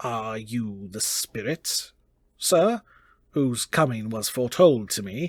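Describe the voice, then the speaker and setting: Someone uses a put-on character voice at a low pitch. The delivery moves at a fairly slow pace. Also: very clean recording, silent background. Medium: read story. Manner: wary.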